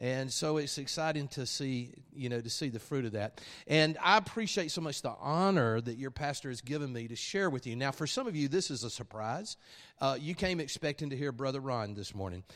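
A man with an Alabama accent speaks at a fairly quick pace with lively intonation and a fairly high pitch. The background is quiet. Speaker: guest preacher. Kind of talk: sermon. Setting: church with congregation.

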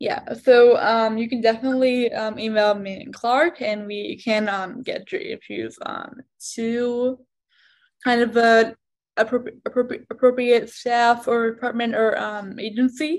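A woman's fairly high voice at a fairly slow pace, with ordinary pitch variation and big swings in loudness. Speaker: advocacy specialist. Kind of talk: panel discussion. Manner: hesitant with false starts.

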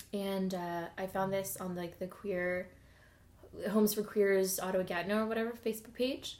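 In a western Canadian accent, a woman speaks at a moderate pace with a medium pitch and fairly even intonation. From Alberta, Edmonton. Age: 20s. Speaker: podcast guest. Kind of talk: casual chat. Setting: home kitchen table.

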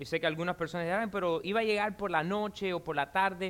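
Here a man speaks in a high voice at a fairly quick pace. His tone is animated. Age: 40s. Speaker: pastor. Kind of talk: sermon.

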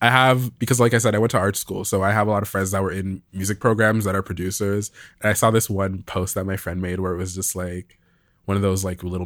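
A man speaks very fast at a fairly low pitch. The recording is very clean, with a silent background. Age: 20s. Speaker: musician and producer. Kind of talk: casual chat. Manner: animated.

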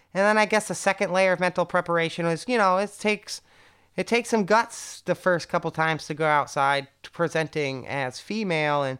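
On a very clean recording with a silent background, a woman with an American accent talks at a moderate pace and medium pitch with ordinary pitch variation. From US Northeast, Connecticut. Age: 30s. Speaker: interview guest, bagpipe performer. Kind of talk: casual interview.

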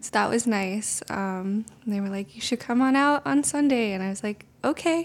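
A soft-spoken woman with a fairly high pitch and lively intonation is heard in a very clean recording with a silent background. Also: moderate pace, hardly any pauses. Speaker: intern and education teacher. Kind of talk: interview, casual conversational.

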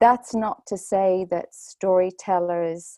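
In a Dublin accent, a woman speaks with a fairly low pitch, a dark, mellow tone and fairly even intonation, the sound dry and close with no echo over a quiet background. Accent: Irish (Dublin). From Ireland, Dublin. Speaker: storytelling teacher and author. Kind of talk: interview conversation.

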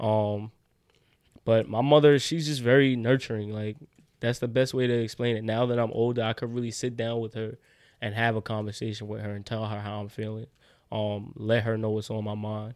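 Recorded very cleanly against a silent background, a man with a New York accent speaks at a fairly quick pace and a medium pitch in a monotone, flat delivery. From New York City, Brooklyn. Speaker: college football player. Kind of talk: casual chat.

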